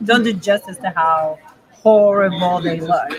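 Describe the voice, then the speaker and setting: A woman with a medium-pitched voice speaks in an animated tone against noticeable background noise. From Venezuela. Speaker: makeup artist. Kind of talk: casual interview.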